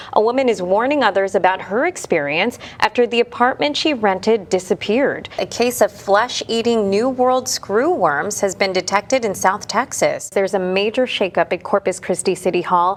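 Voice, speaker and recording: At a medium pitch and moderate pace, a woman speaks with lively intonation, very even loudness and hardly any pauses, over noticeable background noise. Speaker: news anchor and reporter. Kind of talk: TV news anchoring.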